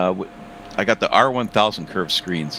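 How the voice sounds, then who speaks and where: A man speaks quite quickly, his intonation lively, while noticeable noise sits in the background. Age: 70s. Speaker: sim racing driver. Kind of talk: casual chat. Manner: halting.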